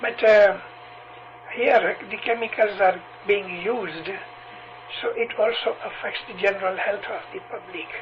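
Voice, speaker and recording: A man with a high pitch speaks in fairly even intonation, leaving long, frequent pauses. Noticeable background noise runs behind him. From Punjab, India (Amritsar); later lived in Tanzania. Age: 70s. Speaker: religious preacher (missionary). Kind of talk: interview. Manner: hesitant, with frequent fillers.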